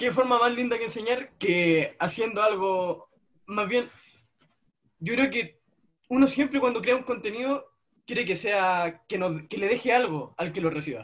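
High-pitched and fairly slow, a man speaks with a Chilean accent. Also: ordinary pitch variation. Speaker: YouTuber interviewer. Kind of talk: casual interview.

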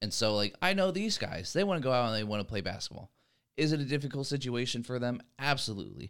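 Very fast speech with lively intonation comes through in a very clean recording with a silent background. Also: man, medium pitch for a man. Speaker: college student and former athlete turned coach. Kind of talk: casual chat.

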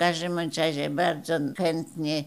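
A woman speaks at a very slow pace. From Poland, Opoczno area. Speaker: retired library director. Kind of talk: interview reminiscence. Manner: halting, with repetitions.

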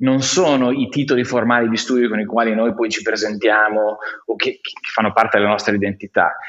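Noticeable background noise sits behind a man talking at a fairly quick pace with fairly even intonation. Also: medium pitch for a man. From Romagna, Italy (Faenza). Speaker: innovation consultant, collective founder. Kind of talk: casual interview conversation.

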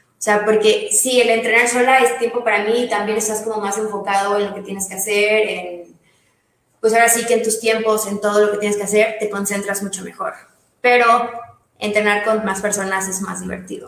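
Speaking at a fairly quick pace in audible room echo, a woman uses a fairly high pitch and monotone, flat intonation, with big swings in loudness. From Mérida, Yucatán, Mexico. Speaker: CrossFit coach and nutritionist. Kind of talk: casual interview.

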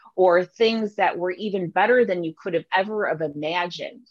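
A woman with an unremarkable speaking voice and ordinary pitch variation. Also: dry, close sound with no echo. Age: 40s. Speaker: plus-size model and pageant winner. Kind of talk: interview.

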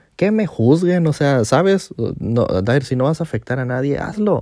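On a very clean recording with a silent background, a man with a dark, mellow tone talks fairly quickly, his pitch swinging very widely. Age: 20s. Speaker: podcast host. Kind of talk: personal monologue. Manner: halting.

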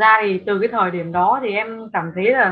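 Using a normal speaking voice, a woman talks at a moderate pace with ordinary pitch variation. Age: 20s. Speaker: travel blogger and content creator. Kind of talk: interview.

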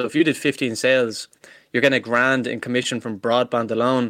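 A man speaks at a fairly quick pace in an Irish accent. His tone is bright and sharp, and his intonation is monotone and flat. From Ireland. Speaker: salesperson. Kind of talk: interview. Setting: video call.

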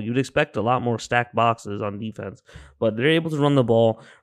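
Against a quiet background, a man with an unremarkable speaking voice talks fairly quickly, his pitch varying in an ordinary way. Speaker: podcast co-host, sports bettor. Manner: laid-back, teasing, chiming in with laughs.

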